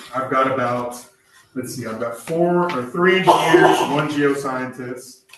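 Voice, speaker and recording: Fairly even intonation in a plain, everyday voice. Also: man. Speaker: state regulatory agency presenter. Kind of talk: presentation.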